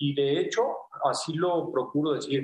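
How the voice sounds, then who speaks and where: A man takes a fairly slow pace while his pitch swings very widely. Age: 50s. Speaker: physician, pulmonologist and intensivist. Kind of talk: radio interview. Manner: hesitant, many fillers.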